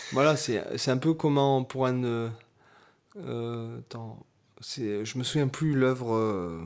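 With long, frequent pauses, a man delivers his words at a very slow pace. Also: medium pitch for a man, ordinary pitch variation. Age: 30s. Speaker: guitarist and podcast co-host. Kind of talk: casual chat.

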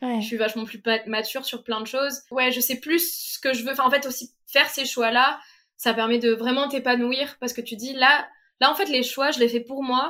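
A woman projects a raised, high-pitched voice with a bright, sharp tone at a moderate pace. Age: 20s. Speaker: master's student. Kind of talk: casual chat. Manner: animated.

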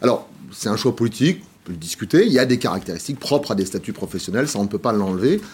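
The man's speech is very fast. He stays in a medium range. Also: lively intonation. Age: 50s. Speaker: social protection think tank president. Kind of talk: TV interview.

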